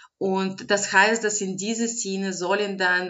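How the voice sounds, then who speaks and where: The speaker has a non-native accent and fairly even intonation. The pace is very slow. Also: woman. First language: not German (speaking German). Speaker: advocacy organisation director. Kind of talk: interview.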